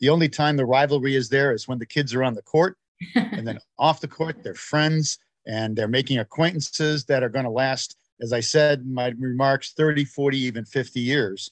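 A man with a plain, everyday voice talks at a medium pitch and a moderate pace with ordinary pitch variation, in a dry, close sound with no echo. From United States (born in Ireland, emigrated very young). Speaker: sports association president. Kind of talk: interview.

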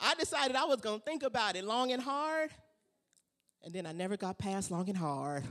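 The speaker uses an animated tone at a moderate pace. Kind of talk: stand-up comedy set, playing the crowd like a club comic. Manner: animated, bantering with the audience, punchy jokes, crowd-work energy.

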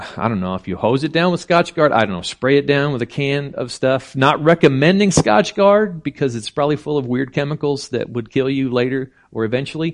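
An ordinary speaking voice from a man, medium in pitch, moderate in pace, and lively in intonation. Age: 50s. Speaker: preacher. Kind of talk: sermon. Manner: casual, conversational.

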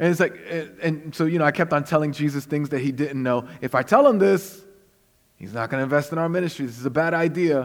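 A man with a Brooklyn accent, fairly high in pitch, with lively intonation and a fairly quick pace. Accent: New York (Brooklyn). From Brooklyn, New York (Puerto Rican family). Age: 40s. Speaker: guest preacher. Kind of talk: sermon.

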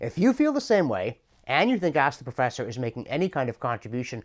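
A man with a Canadian accent at a fairly quick pace, on a very clean recording with a silent background. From Canada (Ontario). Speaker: professor and commentator. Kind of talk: scripted monologue answering a viewer question.

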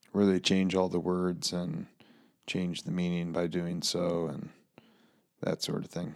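With an American accent, a man speaks at a fairly slow pace in a very deep, low pitch, his intonation monotone and flat, broken by long, frequent pauses, on a very clean recording with a silent background. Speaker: pastor and podcast co-host. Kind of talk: casual chat. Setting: studio.

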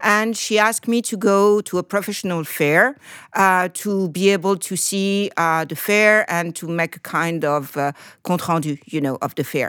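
On a very clean recording with a silent background, a woman with a French accent speaks at a moderate pace and medium pitch, with ordinary pitch variation. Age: 50s. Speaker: trend forecaster. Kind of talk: interview. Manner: halting.

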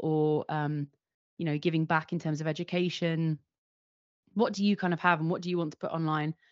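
In a London accent, a woman speaks with fairly low pitch and monotone, flat intonation. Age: 30s. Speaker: video producer and director. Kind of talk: interview conversation.

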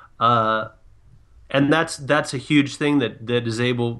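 An unremarkable speaking voice belongs to a man with an American accent, who keeps a moderate pace and fairly even intonation over a quiet background. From San Diego, California. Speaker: sports podcast guest. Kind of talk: casual panel discussion.

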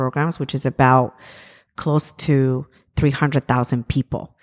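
A woman with a Spanish accent, very deep and low in pitch, flat and monotone at a moderate pace, on a very clean recording with a silent background. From Ecuador. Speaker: immigrant rights activist. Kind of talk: interview. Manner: halting, many fillers.

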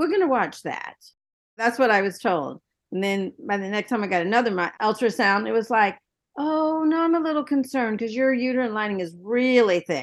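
There is a plain, everyday voice from a woman at a fairly high pitch. She speaks at a fairly quick pace against a quiet background. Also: lively intonation. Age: 60s. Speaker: cancer survivor and patient advocate. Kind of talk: panel discussion.

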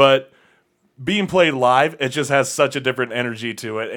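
This is a man with a plain, everyday voice at a medium pitch, speaking at a moderate pace. The recording is very clean and the background silent. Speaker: punk radio show co-host and band vocalist. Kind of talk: casual chat. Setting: studio.

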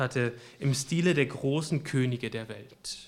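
A man speaks at a fairly slow pace, his voice somewhat breathy. His pitch varies in an ordinary way. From western Germany, Münsterland. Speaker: preacher. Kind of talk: sermon. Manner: halting.

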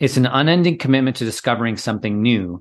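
Against a quiet background, a man with an unremarkable speaking voice talks at a medium pitch and fairly quick pace with lively intonation. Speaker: executive coach and author. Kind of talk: casual interview conversation.

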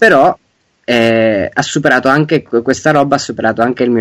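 This man has an ordinary speaking voice. He talks at a fairly quick pace with ordinary pitch variation. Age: 20s. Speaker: game designer and ROM hacker. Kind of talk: interview.

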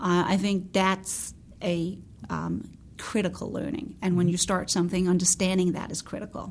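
At a moderate pace, a woman talks at a medium pitch with vocal fry and fairly even intonation. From Denmark. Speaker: beauty brand founder and CEO. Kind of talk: interview.

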